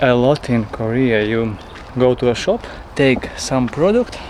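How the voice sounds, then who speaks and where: Over noticeable background noise, a man's voice sits at a medium pitch. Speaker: travel vlogger. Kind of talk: travel vlog narration.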